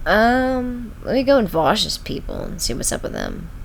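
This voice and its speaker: A woman is speaking. Noticeable background noise and audible room echo come through. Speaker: streamer. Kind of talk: casual live stream chat. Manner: halting, filler-heavy.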